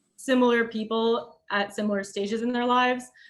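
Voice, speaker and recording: A woman talks at a fairly quick pace and fairly high pitch. Her intonation is fairly even. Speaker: architecture student. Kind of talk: design review presentation. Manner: hesitant, many fillers.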